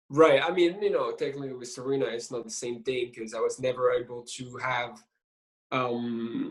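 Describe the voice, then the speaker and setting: Speaking with a French accent, a man has a medium-pitched, somewhat breathy voice, a moderate pace, fairly even intonation and big swings in loudness. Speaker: film director. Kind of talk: interview. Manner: halting.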